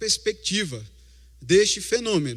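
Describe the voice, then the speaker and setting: A man speaks in a Recife accent. The recording is very clean, with a silent background. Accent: Recife (Pernambuco). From Recife, Brazil. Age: 40s. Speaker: lay preacher. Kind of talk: sermon.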